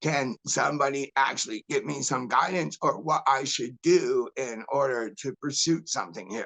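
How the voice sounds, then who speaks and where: Bright and sharp in tone, a man with a fairly high pitch talks at a moderate pace with hardly any pauses. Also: ordinary pitch variation, dry, close sound with no echo. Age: 60s. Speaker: medical cannabis patient commenting at public meeting. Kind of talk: public comment. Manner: pleading, emotional.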